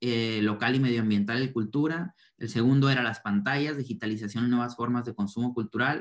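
With ordinary pitch variation and a moderate pace, a man speaks against a quiet background. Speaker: cultural project expert. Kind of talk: reflective summary in online panel. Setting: video call. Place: home room. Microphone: video call.

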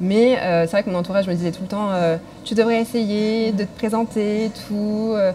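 Her voice is medium in pitch with a dark, mellow tone, and this woman keeps a moderate pace and fairly even intonation.

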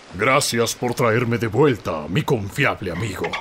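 Over clear background noise, a man performs a put-on character voice at a medium pitch. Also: moderate pace. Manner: dramatic, overeager.

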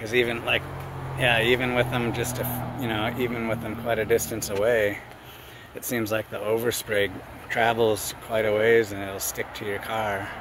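In a dry sound with no echo but noticeable background noise, a man talks at a moderate pace in a monotone, flat intonation. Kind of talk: casual vlog chat. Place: garden. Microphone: phone near.

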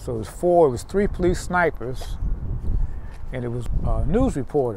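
Light background noise accompanies a man with a dark, mellow, somewhat breathy tone and lively intonation, speaking in a Texas accent with a dry sound and no echo. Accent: Southern US, Texas. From Houston, Texas. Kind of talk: oral history interview answer. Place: street.

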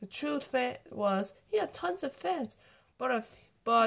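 Lively intonation in a natural voice reading aloud

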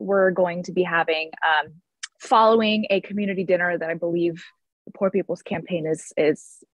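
A woman at a moderate pace, dry sound with no echo, quiet background. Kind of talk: keynote talk on a video call. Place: home room. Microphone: video call.

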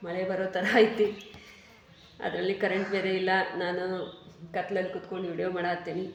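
Speaking in a flat monotone with a North Karnataka accent, a woman is heard with audible room echo and noticeable background noise. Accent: north Karnataka Kannada. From Haveri district, northern Karnataka. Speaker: vlogger and tailor. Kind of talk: casual talk to camera, reading viewer comments.

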